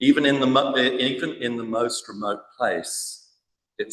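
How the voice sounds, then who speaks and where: A man talks at a fairly slow pace. Room echo is audible. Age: 60s. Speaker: church minister. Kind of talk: conference speech.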